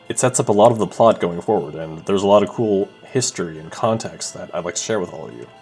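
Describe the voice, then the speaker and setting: With music in the background, a man talks at a fairly quick pace in a fairly low pitch with ordinary pitch variation. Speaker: amateur let's player and voice actor. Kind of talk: casual let's play commentary.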